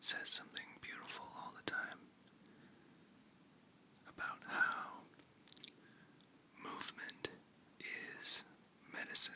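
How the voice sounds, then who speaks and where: Whispering in a gentle tone at a very slow pace, the speaker leaves long, frequent pauses over noticeable background noise. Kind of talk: ASMR close-up whispering ramble. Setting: very close to the microphone. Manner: whispered, soft, gentle, calming.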